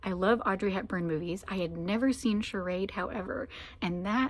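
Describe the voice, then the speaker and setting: At a medium pitch and a moderate pace, a woman with an unremarkable speaking voice uses ordinary pitch variation in a very clean recording with a silent background. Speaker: vlogger, church musician. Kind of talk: casual vlog chat. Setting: music library, sitting on floor.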